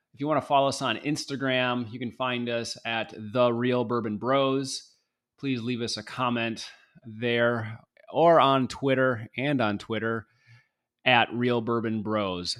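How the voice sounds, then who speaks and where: The speaker has an American accent and a fairly slow pace. Intonation is fairly even. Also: man, medium pitch for a man. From Michigan. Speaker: podcast host. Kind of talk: casual chat. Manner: halting.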